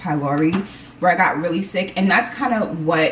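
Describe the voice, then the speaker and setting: Ordinary pitch variation at a fairly quick clip, with noticeable noise behind it. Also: woman. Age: 40s. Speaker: lifestyle vlogger. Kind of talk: casual chat. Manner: animated.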